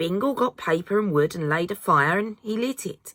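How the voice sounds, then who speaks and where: With a British accent, a woman speaks at a moderate pace and medium pitch in a bright, sharp tone, her intonation lively and the sound dry and close with no echo. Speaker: mother. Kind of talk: children's audiobook reading.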